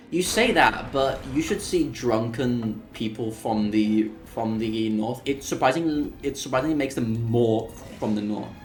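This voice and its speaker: A man at medium pitch and a fairly slow pace, with hardly any pauses, ordinary pitch variation, audible room echo and music in the background. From Seville, southern Spain. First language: Spanish. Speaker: speedrunner streamer. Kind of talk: casual chat. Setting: live stream. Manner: animated.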